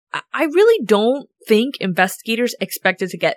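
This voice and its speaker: A woman with an unremarkable speaking voice talks at a moderate pace with lively intonation. The sound is dry and close, with no echo. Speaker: true crime podcast narrator. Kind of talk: true-crime narration. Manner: measured, solemn storytelling delivery.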